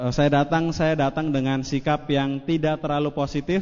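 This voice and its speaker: A man speaks at a moderate pace with a fairly high pitch. Noticeable background noise runs behind him. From Indonesia, West Java (Cirebon). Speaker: network marketing speaker. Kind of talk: motivational seminar talk. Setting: stage with audience. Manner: animated.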